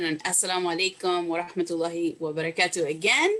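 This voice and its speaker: At a very fast pace, a woman with a Spanish accent talks in a medium pitch over noticeable background noise. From Puerto Rico, moved to US in third grade. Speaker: children's book author. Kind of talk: reading aloud to children.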